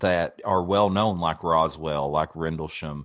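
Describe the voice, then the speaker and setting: The speaker has a Kentucky accent, recorded with a dry, close sound and no echo. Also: man, quiet background. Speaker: podcast host. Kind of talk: interview.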